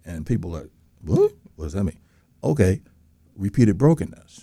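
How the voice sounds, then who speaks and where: Dark and mellow in tone, a man's voice comes with an American accent. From outside Florida. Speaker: co-host.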